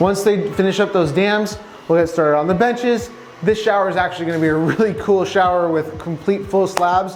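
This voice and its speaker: An enthusiastic man talks at a fairly quick pace and a high pitch, his loudness very even over noticeable background noise. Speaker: real estate developer and contractor. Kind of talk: site tour vlog. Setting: construction site. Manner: fast.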